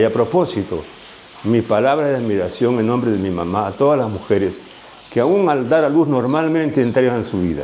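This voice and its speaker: A man talks at a fairly quick pace with lively intonation. Background noise is noticeable. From Peru, Ica. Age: 80s+. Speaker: retired doctor and farmer. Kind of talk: interview.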